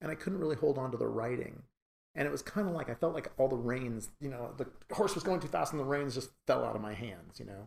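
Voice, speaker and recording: Talking at a very fast pace, a man shows lively intonation and vocal fry. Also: medium pitch for a man. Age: 60s. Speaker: animation writer and producer. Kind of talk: interview.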